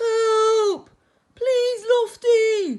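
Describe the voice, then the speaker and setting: This put-on character voice is pitched extremely high. It sounds squeaky. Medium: read story.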